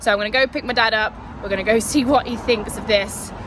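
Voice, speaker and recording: A woman with a British accent, very fast pace and upbeat tone, against noticeable background noise. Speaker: car content creator. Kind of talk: casual talk to camera.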